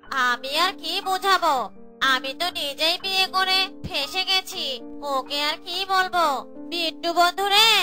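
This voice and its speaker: This is a cartoonish character voice delivered at a fairly slow pace. Clear music plays in the background. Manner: whiny, comic.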